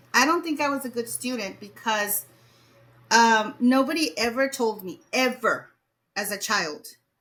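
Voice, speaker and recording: Fairly high in pitch, a woman speaks with a Spanish accent and ordinary pitch variation. Her pace is fairly slow, with long, frequent pauses. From Mexico. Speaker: educator. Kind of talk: interview.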